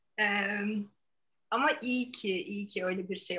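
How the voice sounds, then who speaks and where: The woman's bright, sharp tone sits at a medium pitch. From Turkey, Ankara. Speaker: yoga teacher. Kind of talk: casual interview.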